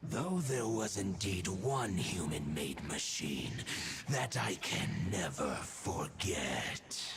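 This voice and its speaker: Using a put-on character voice, a man speaks at a fairly low pitch and a very slow pace amid clear background noise. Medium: video game. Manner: stately, archaic.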